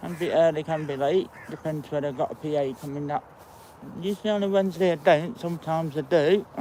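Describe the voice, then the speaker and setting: Mumbling at a very fast pace, a man speaks in an East Midlands accent with a fairly high pitch and ordinary pitch variation. Noticeable background noise is present. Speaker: walking vlogger. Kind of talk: casual vlog narration. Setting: outdoors.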